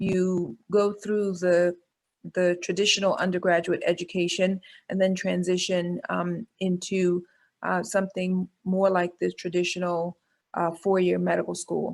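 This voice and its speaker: A woman speaks in a New York accent at a medium pitch and a fairly slow pace. Her intonation is flat and monotone. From New York City, Bronx. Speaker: pediatrician and medical school dean. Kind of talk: webinar talk. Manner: halting.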